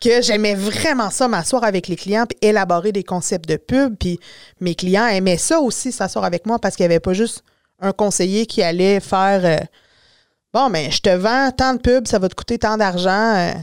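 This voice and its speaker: In a very clean recording with a silent background and a dry, close sound with no echo, a woman with an ordinary speaking voice talks at a medium pitch and moderate pace with ordinary pitch variation. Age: 40s. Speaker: drafting technician and communications business owner. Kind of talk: podcast interview.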